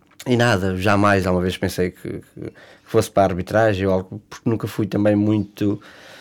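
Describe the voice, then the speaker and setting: At a moderate pace, a man speaks at a fairly low pitch in a monotone, flat intonation. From Portugal, Leiria district. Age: 30s. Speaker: football referees' association president. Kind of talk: interview. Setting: studio. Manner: halting.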